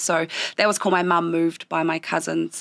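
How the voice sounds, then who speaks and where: A woman's fairly low-pitched voice with a New Zealand accent at a fairly slow pace, dry and close with no echo on a very clean recording with a silent background. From southern New Zealand (Otago/Southland). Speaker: small business owner. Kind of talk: interview.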